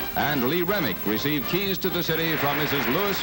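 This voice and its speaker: Fairly quick speech under loud background noise. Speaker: newsreel narrator. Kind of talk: newsreel narration. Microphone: old recording.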